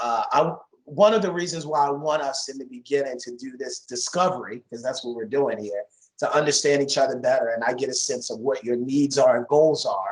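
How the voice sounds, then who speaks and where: A man with an American accent talks at a fairly quick pace and a fairly high pitch, with ordinary pitch variation and big swings in loudness. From USA. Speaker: course instructor. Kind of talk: online class discussion. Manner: halting.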